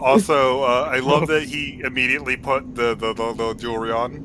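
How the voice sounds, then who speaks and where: Over music in the background, a man of medium pitch talks with fairly even intonation and hardly any pauses. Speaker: tabletop game player. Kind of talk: casual chat. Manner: halting, repeats words.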